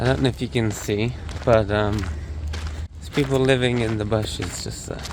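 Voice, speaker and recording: The voice moves in very wide pitch swings over noticeable background noise. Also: man, fairly low pitch for a man, moderate pace. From UK. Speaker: travel vlogger. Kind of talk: casual vlog talk to camera.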